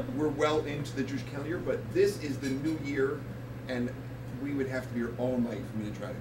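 Noticeable background noise sits behind the recording. A man talks at a very fast pace. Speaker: guest. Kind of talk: comedic talk-show interview answer. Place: bar.

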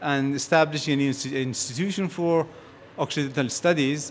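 A man speaks at a moderate pace. He has a Persian accent. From Iran. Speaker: physicist. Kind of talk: conference talk.

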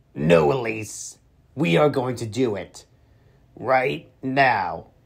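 Very wide pitch swings mark this put-on character voice, delivered at a very slow pace. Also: man, medium pitch for a man. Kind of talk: comic overacting. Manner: goofy, smug, cheerful.

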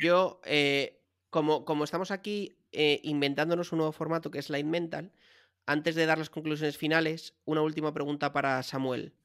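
The speaker talks at a moderate pace, and the background is quiet. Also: man, fairly high pitch for a man. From Madrid, Spain; Spain. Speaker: podcast co-host. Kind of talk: casual chat. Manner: animated. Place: home room. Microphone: studio mic.

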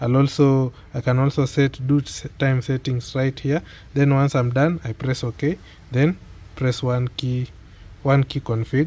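The voice has a dark, mellow tone, moving at a moderate pace with little pitch movement. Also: man.

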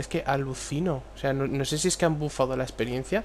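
This man speaks at a moderate pace. His pitch varies in an ordinary way. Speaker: gaming YouTuber. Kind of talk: gameplay commentary. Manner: casual, halting.

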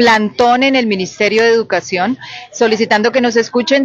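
A woman at a moderate pace, in a dry sound with no echo. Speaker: spokesperson for provisional teachers. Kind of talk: interview answer. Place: street. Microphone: handheld.

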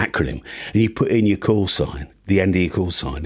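A man with a fairly low pitch speaks with lively intonation over a quiet background. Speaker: amateur radio video creator. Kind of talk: comedic vlog commentary. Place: home room. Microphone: studio mic.

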